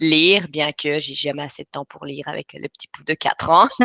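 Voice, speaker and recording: A woman speaks with a slight Belgian accent and a very deep, low pitch. Her intonation is fairly even, and the sound is dry and close with no echo. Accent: slight European (Belgian) French. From Belgium, Brussels. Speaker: writing coach. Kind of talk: webinar presentation. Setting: live online webinar. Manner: hesitant, many filler sounds.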